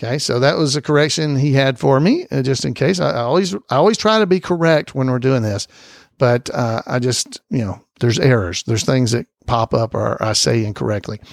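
A man with an Alabama accent, medium pitch, lively intonation and a fairly quick pace. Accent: Southern US (Alabama). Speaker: podcast host. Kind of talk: casual podcast monologue. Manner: hesitant, frequent fillers.

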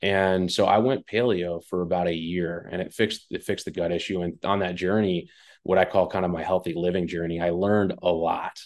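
A man talks fairly quickly with hardly any pauses, his pitch very deep and low. His intonation is monotone and flat against a quiet background. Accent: American. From West Long Branch, New Jersey. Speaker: food company founder and CEO. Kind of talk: interview. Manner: casual.

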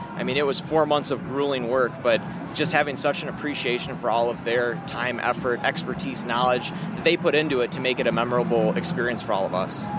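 Someone with an American accent talks fairly quickly over noticeable background noise. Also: man. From Minnesota. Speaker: systems administrator. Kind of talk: casual interview.

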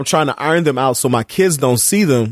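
On a very clean recording with a silent background, a man talks at a fairly quick pace in an animated, passionate tone. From Chicago. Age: 40s. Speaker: podcaster and community activist. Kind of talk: casual chat. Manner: engaging.

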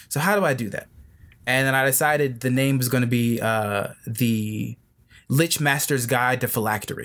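A man speaks in a plain, everyday voice at a moderate pace and medium pitch with ordinary pitch variation. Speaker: cosplayer, voice actor and game designer. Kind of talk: casual interview chat.

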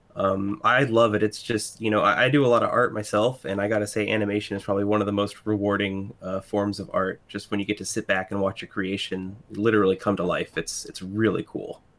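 A man with a normal speaking voice, fairly low-pitched, fairly quick and with hardly any pauses, his intonation fairly even. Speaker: podcast co-host. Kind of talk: casual chat.

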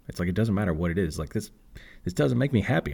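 In a very deep, low voice, a man speaks with an American accent. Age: 30s. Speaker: podcast host and options trader. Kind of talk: casual monologue on personal finance.

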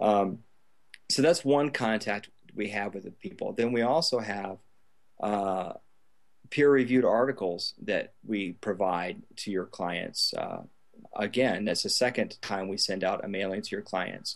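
A man with a plain, everyday voice talks at a fairly slow pace with a fairly low pitch and ordinary pitch variation. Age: 40s. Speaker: email marketing business owner, former Air Force pilot. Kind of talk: interview.

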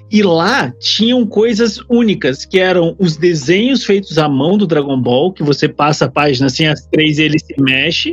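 Noticeable background noise sits behind a man speaking at a moderate pace. His high pitch rises and falls with lively intonation. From Brazil, Curitiba. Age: 30s. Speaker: YouTuber on photography and vaping. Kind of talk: casual chat.

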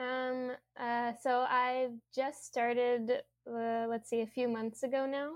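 A woman with an American accent speaks at a high pitch. Her delivery is monotone and flat, at a very slow pace. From US South, Louisiana. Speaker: graduate student, climate scientist. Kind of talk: interview.

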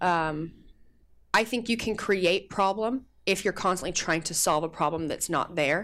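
A woman with an American accent and a normal speaking voice, medium pitch, ordinary pitch variation and moderate pace, on a very clean recording with a silent background. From United States. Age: 20s. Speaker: athlete and actor. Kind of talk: casual chat.

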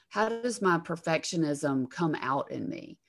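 This is a woman's voice. She speaks with a Southern US accent. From Alabama, US South. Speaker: counselor and former attorney. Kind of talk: casual interview.

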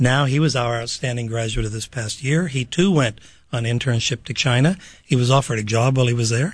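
A somewhat breathy man's voice of medium pitch with an American accent, over a quiet background. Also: ordinary pitch variation, fairly quick pace. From Pittsburgh, Pennsylvania. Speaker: university program director. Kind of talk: radio interview. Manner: halting.

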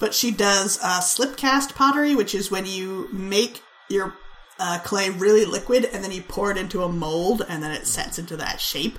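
A woman at a moderate pace, ordinary pitch variation, noticeable background noise. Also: medium pitch for a woman. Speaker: podcast host. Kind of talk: casual banter, comedic chat.

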